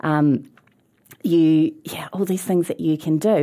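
On a very clean recording with a silent background, a woman with a New Zealand accent speaks at a fairly slow pace in a fairly low, dark, mellow voice with ordinary pitch variation. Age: 40s. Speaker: museum chief executive. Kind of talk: casual chat.

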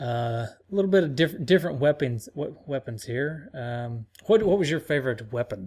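A man's somewhat breathy voice sits at a fairly high pitch with lively intonation. He speaks at a fairly quick pace with hardly any pauses. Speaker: podcast host. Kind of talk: casual chat.

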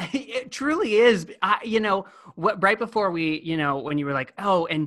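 The speaker uses lively intonation at a moderate pace, with an American accent. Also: man, quiet background. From California. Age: 30s. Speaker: performer. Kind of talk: casual chat. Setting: remote call from parents' home.

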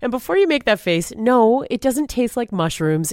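In a very clean recording with a silent background, a woman speaks fairly quickly with very wide swings in pitch. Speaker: podcast host, former radio personality. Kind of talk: casual interview chat.

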